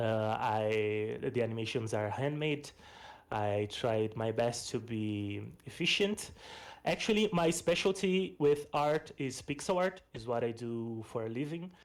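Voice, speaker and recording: A man with a Portuguese accent talks at a fairly slow pace and a medium pitch. His intonation is lively. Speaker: game developer and pixel artist. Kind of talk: presentation of a game project. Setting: online voice stage. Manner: casual, with fillers.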